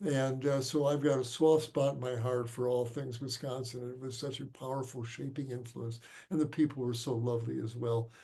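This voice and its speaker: Speaking with an American accent at a moderate pace and hardly any pauses, a man holds a medium pitch in a monotone, flat intonation. His tone is dark, mellow and somewhat breathy, with audible room echo around him. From Chicago, US Midwest. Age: 70s. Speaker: physician. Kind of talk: lecture Q&A. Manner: halting.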